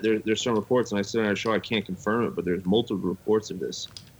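A man with an American accent speaks at a very fast pace in a fairly low pitch. His intonation is monotone and flat, with noticeable background noise behind him. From Las Vegas, US. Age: 30s. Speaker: podcast co-host, guest. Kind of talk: casual chat.

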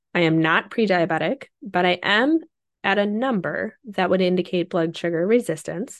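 At a moderate pace, a woman with an unremarkable speaking voice talks, her pitch varying in an ordinary way. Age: 30s. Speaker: podcast host, working mom. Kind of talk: personal monologue. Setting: home office.

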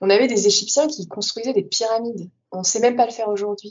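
A woman's normal speaking voice, fairly high in pitch, at a fairly quick pace. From Paris region, France. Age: 20s. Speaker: former Sufi, podcast guest. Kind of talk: interview testimony.

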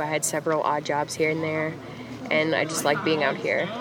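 A woman with a very deep, low pitch speaks at a moderate pace over noticeable background noise. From southern Louisiana. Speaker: trail crew member. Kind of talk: casual interview.

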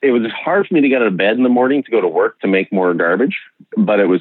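This is a man talking with a western Canadian accent. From Okanagan, British Columbia, Canada. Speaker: designer and urbanism writer. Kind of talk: casual conversation. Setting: remote call.

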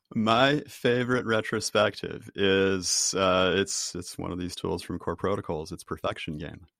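With a Boston accent, a man talks at a fairly slow pace with hardly any pauses, using a fairly low pitch and ordinary pitch variation. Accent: Boston American. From US, Boston. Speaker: author and team trainer. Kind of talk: interview. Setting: video call.

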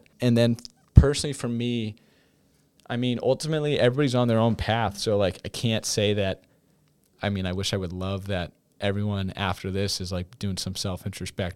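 At a fairly quick pace, a man speaks in a normal speaking voice, fairly low in pitch with ordinary pitch variation. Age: 20s. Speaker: college student and football player. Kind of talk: casual interview. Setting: studio.

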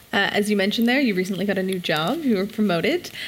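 A woman talks over noticeable background noise. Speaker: conference panel moderator. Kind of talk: moderated panel discussion. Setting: stage with audience.

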